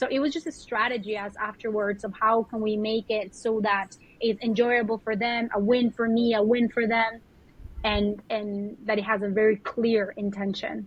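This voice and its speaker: A somewhat breathy voice with a Spanish accent. The intonation stays monotone and flat. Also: woman, fairly high pitch for a woman, moderate pace. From Colombia. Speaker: spiritual mentor and yoga teacher. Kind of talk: podcast interview.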